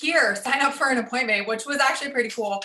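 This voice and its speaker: A woman speaks over noticeable background noise. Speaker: real estate agent. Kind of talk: interview. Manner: fast.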